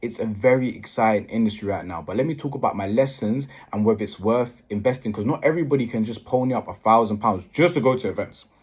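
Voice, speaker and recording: A man speaks with a British accent at a very fast pace, with hardly any pauses. His pitch is medium, with ordinary variation. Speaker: property investor vlogger. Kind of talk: vlog. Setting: hotel room.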